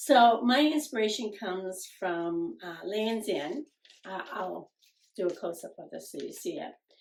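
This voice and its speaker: Fairly slow and medium-pitched, a woman's voice with vocal fry shows very wide pitch swings and big swings in loudness. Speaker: sewing channel co-host. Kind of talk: casual chat.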